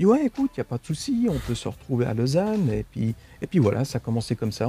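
Music plays in the background as a man speaks very fast at a medium pitch. His intonation is lively, and the sound is dry and close, with no echo. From Switzerland, Italian family. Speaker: actor. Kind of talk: casual interview chat. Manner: halting, repeats words.

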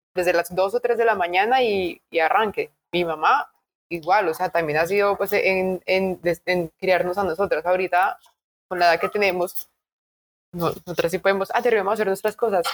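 A woman has a normal speaking voice at a medium pitch. She talks at a moderate pace with ordinary pitch variation. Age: 30s. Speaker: podcast co-host. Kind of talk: casual chat.

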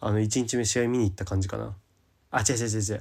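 Against a silent background in a very clean recording, a man talks very fast in a fairly low pitch. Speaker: podcast host. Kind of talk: solo casual talk. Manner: rambling long-form talk.

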